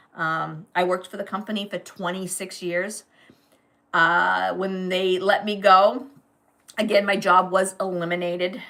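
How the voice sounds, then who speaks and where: A woman with an American accent, a bright, sharp tone and medium pitch, at a moderate pace. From New England, US. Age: 60s. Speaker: online business coach. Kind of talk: live stream talk. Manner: casual, hesitant with fillers.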